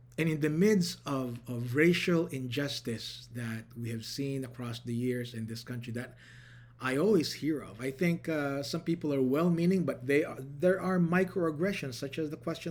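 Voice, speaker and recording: A man's fairly high-pitched voice with ordinary pitch variation and audible room echo. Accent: Filipino. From Philippines. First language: Tagalog. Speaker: pastor. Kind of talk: sermon.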